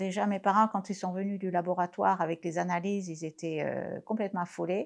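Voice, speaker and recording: Against a quiet background, a woman speaks at medium pitch and a fairly quick pace with monotone, flat intonation. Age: 60s. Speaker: patient sharing testimony. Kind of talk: testimony.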